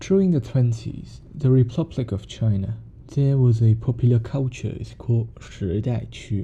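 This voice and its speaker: A man with a Cantonese accent speaks at a moderate pace with ordinary pitch variation. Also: medium pitch for a man. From Hong Kong. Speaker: music podcaster. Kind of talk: podcast monologue.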